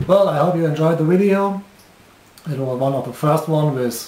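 In a German accent, a man with a fairly high voice and ordinary pitch variation speaks in a room with audible echo. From Germany. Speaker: hobbyist model engineer. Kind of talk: video commentary. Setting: workshop. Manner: halting.

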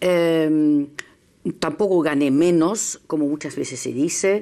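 A woman talks with a very deep, low pitch and a dark, mellow tone. The background is quiet. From Germany. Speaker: journalist. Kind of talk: panel discussion. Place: studio. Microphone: lapel.

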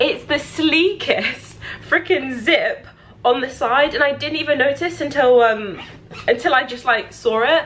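A woman with a British accent speaks at a fairly slow pace in a high voice. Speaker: YouTuber; vlogger. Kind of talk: product review vlog; casual vlog chat. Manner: casual, with many fillers. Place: home room. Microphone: phone near.

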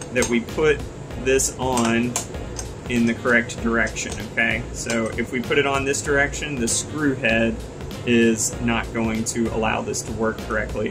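Over clear music in the background, a man speaks at a moderate pace in a monotone, flat intonation. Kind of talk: tutorial. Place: home room.

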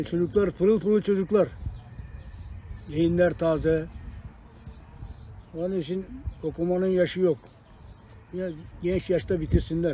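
Light background noise sits under a dry sound with no echo as a man with a high pitch speaks at a fairly slow pace, with fairly even intonation and long, frequent pauses. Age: 70s. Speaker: retired police officer. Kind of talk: interview answer. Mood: calm, encouraging advice. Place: garden. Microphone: phone near.

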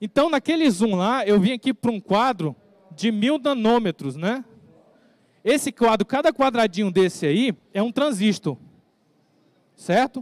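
A man with a high pitch speaks at a fairly slow pace with lively intonation. He leaves long, frequent pauses. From Brazil, Rondônia (Guajará-Mirim); Rondônia, Brazil. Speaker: forensic expert giving a tech talk; conference presenter. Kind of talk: lecture. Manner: halting, with frequent fillers. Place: stage.

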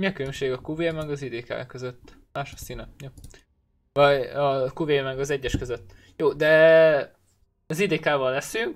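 Delivered at a fairly slow pace, an unremarkable speaking voice holds a fairly even intonation. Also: man, fairly high pitch for a man. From Hungary. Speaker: gaming streamer. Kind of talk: live gameplay commentary. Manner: casual, thinking aloud. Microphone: headset.

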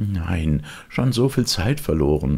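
In a put-on character voice, a man speaks slowly at a low pitch, with big pitch swings, vocal fry, a slightly mellow tone and a slightly husky edge.

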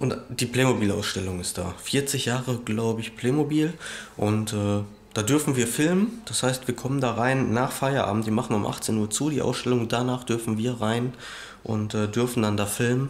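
With fairly even intonation, a man delivers his words at a moderate tempo. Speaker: family vlogger. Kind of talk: casual vlog chat. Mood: relaxed, looking forward. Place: home room. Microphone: phone near.

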